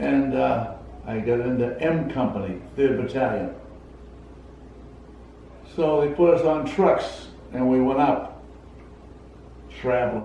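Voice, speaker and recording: A man with an American accent speaks at medium pitch with ordinary pitch variation. He goes at a fairly slow pace with long, frequent pauses over noticeable background noise. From Massachusetts, USA. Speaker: Korean War veteran, paratrooper. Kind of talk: interview answer.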